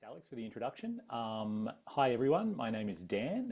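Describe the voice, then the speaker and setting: A man with an Australian accent talks at a fairly quick pace in a dark, mellow tone. The recording is very clean, with a silent background. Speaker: adventurer and travel speaker. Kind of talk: public talk with slides. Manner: casual, many fillers.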